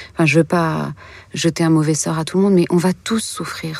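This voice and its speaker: A woman talks at a fairly quick pace. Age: 40s. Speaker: author and filmmaker. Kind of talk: interview about grief and consolation. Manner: hesitant, with fillers and repetitions.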